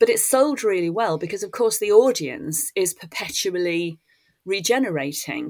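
Speaking at a moderate pace in an English accent, the voice swings very widely in pitch and shifts greatly in loudness. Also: woman. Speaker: retired school head and education author. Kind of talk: interview. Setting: video call.

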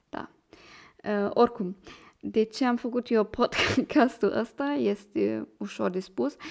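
A woman's fairly high voice with a slight Moldovan accent, ordinary pitch variation and a very slow pace. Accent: slight Moldovan-sounding Romanian. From Germany. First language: German (speaking Romanian). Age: 20s. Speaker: podcast host, student. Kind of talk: casual monologue.

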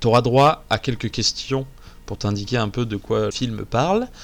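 A man talks at a moderate pace in a very clean recording where the background is silent. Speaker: podcast host. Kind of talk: casual chat.

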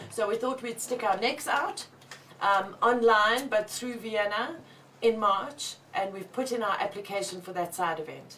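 A woman at a fairly high pitch and a moderate pace, with ordinary pitch variation and noticeable background noise. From South Africa. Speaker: cannabis show host. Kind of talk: casual live show chat. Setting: studio.

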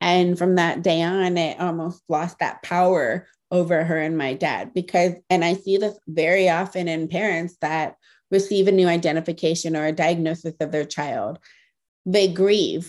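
A woman with an unremarkable speaking voice and an American accent talks at a moderate pace in a fairly low pitch. The recording is very clean, with a silent background. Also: fairly even intonation. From US Midwest (Ohio). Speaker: pediatric audiologist. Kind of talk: interview.

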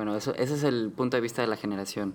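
Here a man speaks at a medium pitch, with an ordinary speaking voice and ordinary pitch variation. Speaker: podcast co-host. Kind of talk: casual discussion.

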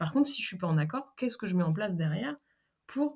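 A woman speaks at a medium pitch, somewhat breathy. The recording is very clean with a silent background. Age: 30s. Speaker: therapist and personal development coach. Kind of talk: interview.

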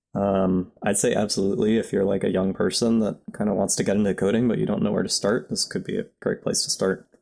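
A man's dark, mellow voice, flat and monotone, in a very clean recording with a silent background. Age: 20s. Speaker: VR game developer. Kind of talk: interview.

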